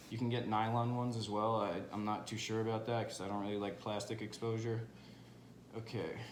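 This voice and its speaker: Amid audible room echo, a man delivers his words at a fairly quick pace in a medium-pitched, monotone, flat voice. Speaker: home cooking video creator. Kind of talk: tutorial. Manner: fast; casual, informal.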